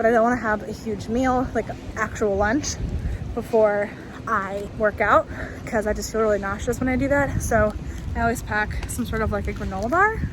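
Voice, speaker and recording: The speech moves at a moderate pace with fairly even intonation. There is audible room echo and noticeable background noise. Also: woman, fairly high pitch for a woman. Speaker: lifestyle vlogger and yoga teacher. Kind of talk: casual vlog. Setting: subway.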